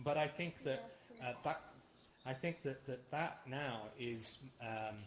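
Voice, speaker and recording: At a very slow pace, a man speaks in a somewhat breathy voice at medium pitch with ordinary pitch variation. Audible room echo surrounds him. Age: 40s. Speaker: lecturer. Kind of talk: lecture with Q&A discussion. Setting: virtual reality platform. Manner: halting, many fillers.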